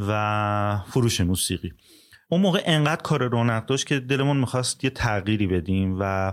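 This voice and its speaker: An unremarkable speaking voice from a man, medium in pitch and fairly quick, with lively intonation and a very clean recording over a silent background. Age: 40s. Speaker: music business owner. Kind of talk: casual interview.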